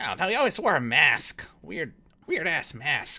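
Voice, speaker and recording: A man speaks in a put-on character voice, pitched high. He projects it loudly at a fairly slow pace. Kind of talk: comic pirate voice. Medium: actual play. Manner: rambling, forgetful, self-pitying.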